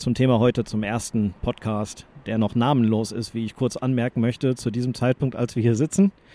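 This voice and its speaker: A man talks in a dark, mellow tone at a medium pitch. His intonation stays fairly even and he hardly pauses at all. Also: fairly quick pace. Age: 40s. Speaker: sports journalist and podcast co-host. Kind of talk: casual chat. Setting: studio, face to face.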